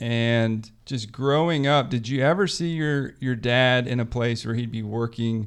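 The speaker has a normal speaking voice, with fairly even intonation at a moderate pace. The recording is very clean, the background silent. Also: man. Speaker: podcast host.

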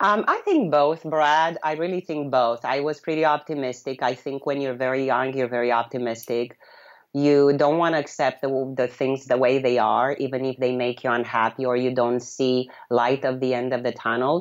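This woman has a very deep, low pitch and a Romanian accent. She speaks at a moderate pace with fairly even intonation. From Romania, city near Yugoslav border. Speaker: blogger and freedom advocate. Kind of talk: interview. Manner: halting.

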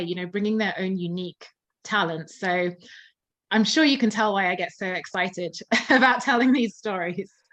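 In a southern English accent, a woman speaks at a moderate pace. The background is quiet. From England, Surrey near London. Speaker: musicologist and concert pianist. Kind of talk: interview.

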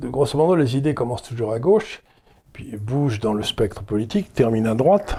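Dark and mellow in tone, a man's medium-pitched voice is somewhat breathy. He speaks at a fairly quick pace with lively intonation. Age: 70s. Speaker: interviewer, economist host. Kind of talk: interview conversation.

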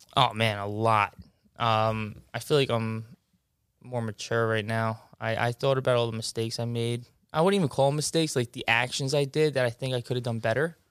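Speaking in a Long Island accent at a fairly quick pace, a man uses a medium pitch with ordinary pitch variation in a very clean recording with a silent background. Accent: New York (Long Island). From Long Island, New York. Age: 20s. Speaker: basketball referee and coach. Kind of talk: casual interview.

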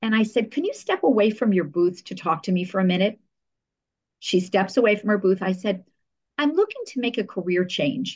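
A woman speaks in an American accent at a fairly quick pace. Her medium-pitched voice is somewhat breathy, with ordinary pitch variation. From New Jersey, US. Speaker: public relations professional. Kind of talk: interview conversation.

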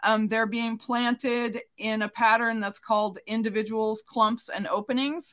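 A woman with a fairly high voice speaks fairly slowly in a flat monotone with hardly any pauses, in a dry, close sound with no echo. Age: 50s. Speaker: park service scientist. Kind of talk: radio interview. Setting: radio show.

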